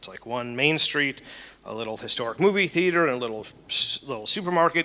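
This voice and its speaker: A man's bright, sharp voice with an American accent, very fast pace and ordinary pitch variation. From Chicago, US Midwest. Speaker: chef. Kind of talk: conference talk. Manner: hesitant, with filler words.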